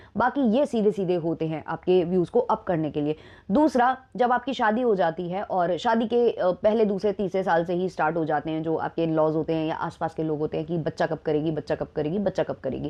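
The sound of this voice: A woman with a fairly low voice talks at a fairly quick pace with few pauses and ordinary pitch variation.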